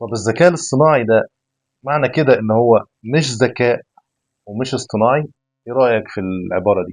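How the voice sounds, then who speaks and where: Against a quiet background, a man with a medium pitch speaks at a fairly quick pace, with ordinary pitch variation and long, frequent pauses. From Egypt. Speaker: podcast host. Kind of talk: casual interview.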